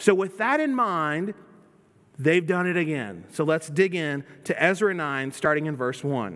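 A man with an American accent speaks at a fairly slow pace in a fairly high pitch, his intonation lively against a quiet background. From US South. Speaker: pastor. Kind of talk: sermon. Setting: church. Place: church.

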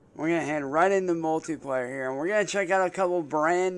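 A man speaks with ordinary pitch variation. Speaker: gaming streamer. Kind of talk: casual gaming commentary. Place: home room.

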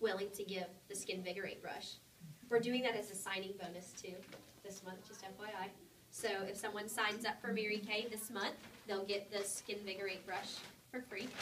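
A woman's voice with fairly even intonation and a fairly quick pace, light background noise underneath. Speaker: sales team leader. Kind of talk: sales meeting presentation. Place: meeting room. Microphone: camera far.

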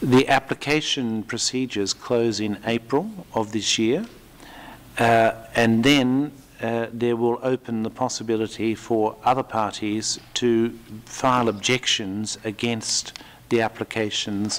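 A man's intonation stays fairly even as he speaks at a fairly slow pace. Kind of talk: press conference statement. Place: hall. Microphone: podium.

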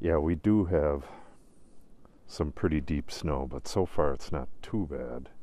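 A man talks at a very slow pace with vocal fry and ordinary pitch variation. The sound is dry, with no echo. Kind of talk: casual vlog chat. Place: forest. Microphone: phone near.

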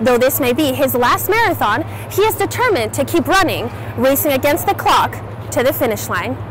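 A woman speaks at a very even loudness. The recording is dry with no echo, with music in the background. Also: fairly quick pace. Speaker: student news reporter. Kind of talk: news report narration. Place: street.

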